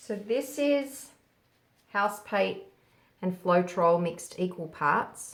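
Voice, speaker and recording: With an Australian accent, a woman speaks at a very slow pace with long, frequent pauses, her medium-pitched voice carrying lively intonation. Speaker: fluid artist. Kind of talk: casual painting tutorial talk.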